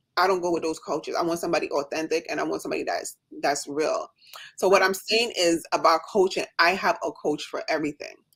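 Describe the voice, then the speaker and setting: A woman with a slight Jamaican accent speaks in an animated tone at a fairly low pitch and fairly quick pace. The recording is very clean, with a silent background. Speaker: nurse and coaching client. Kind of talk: casual chat on a livestream. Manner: fast.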